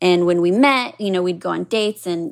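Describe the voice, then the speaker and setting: The recording is very clean with a silent background. A woman with an unremarkable speaking voice talks fairly quickly at a medium pitch with ordinary pitch variation. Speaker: caller, HR professional. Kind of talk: casual storytelling.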